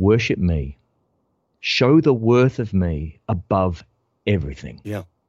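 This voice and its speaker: A man with an Australian accent talks at a fairly low pitch, his intonation lively. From Melbourne, Australia. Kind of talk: casual interview.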